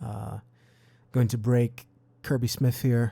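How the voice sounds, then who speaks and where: A man's medium-pitched voice, dark and mellow in tone, at a fairly slow pace, on a very clean recording with a silent background. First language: not English. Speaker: gaming video creator. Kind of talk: gameplay commentary. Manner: casual, hesitant with fillers.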